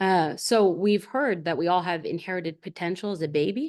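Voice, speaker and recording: A woman speaks in a fairly low pitch with ordinary pitch variation against a quiet background. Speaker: historian and seminar presenter. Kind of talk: lecture. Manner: fast.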